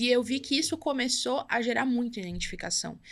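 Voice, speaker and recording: A woman speaks in a bright, sharp tone with ordinary pitch variation. The recording is very clean, with a silent background. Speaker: entrepreneur, brand and community builder. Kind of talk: podcast interview. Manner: fast.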